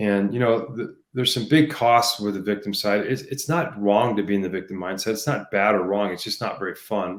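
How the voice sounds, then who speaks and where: In a very clean recording with a silent background, a man with an unremarkable speaking voice speaks at a fairly low pitch. He goes at a fairly quick pace with ordinary pitch variation and hardly any pauses. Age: 60s. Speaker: leadership coach. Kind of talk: interview. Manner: frequent fillers like um and you know.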